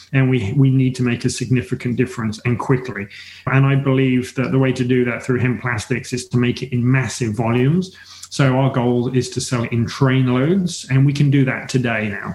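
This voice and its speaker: Noticeable background noise surrounds a man speaking at a moderate pace. His pitch is medium and his intonation fairly even. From England. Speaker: hemp entrepreneur. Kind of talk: interview. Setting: remote call.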